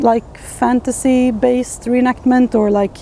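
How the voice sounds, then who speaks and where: Her speech is dry, with no echo, and has light background noise. The woman talks at a fairly slow pace. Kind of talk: casual explanatory talk to camera. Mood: earnest, thoughtful. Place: forest.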